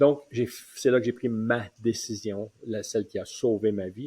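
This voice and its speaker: The voice is somewhat breathy. It belongs to a man talking at a fairly slow pace. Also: dry, close sound with no echo. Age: 60s. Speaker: retirement coach. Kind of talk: personal testimony. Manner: hesitant, many fillers.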